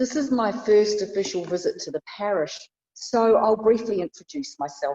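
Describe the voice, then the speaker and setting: A woman at medium pitch with a New Zealand accent, speaking at a moderate pace. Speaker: bishop. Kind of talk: sermon. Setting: church.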